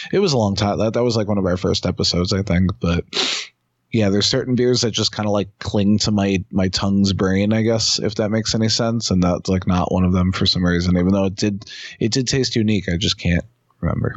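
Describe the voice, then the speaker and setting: A man with an American accent speaks in a plain, everyday voice, fairly low in pitch, with fairly even intonation, very even loudness and a fairly quick pace. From New York City (Queens). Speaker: independent wrestler. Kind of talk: casual chat. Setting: phone call.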